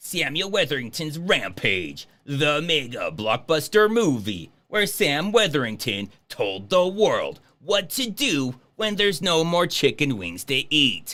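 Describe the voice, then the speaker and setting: A man puts on a character voice at a fairly high pitch, his pitch swinging very widely at a fairly slow pace. The recording is very clean, with a silent background. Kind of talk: announcer. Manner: dramatic, mock-serious.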